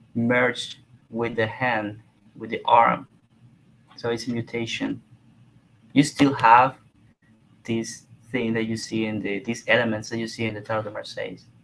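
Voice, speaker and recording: A man speaks in a monotone with flat intonation. His pauses are long and frequent. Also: medium pitch for a man, moderate pace. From Cuba. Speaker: tarot deck artist. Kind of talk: live chat interview.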